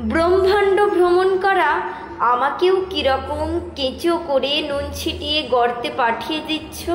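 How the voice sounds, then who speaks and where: This woman has a high pitch and ordinary pitch variation. Noticeable background noise runs behind her. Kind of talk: poetry reading.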